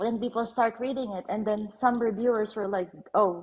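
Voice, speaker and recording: A woman talks at a moderate pace with a Filipino accent. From Philippines. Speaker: author. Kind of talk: casual chat. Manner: halting.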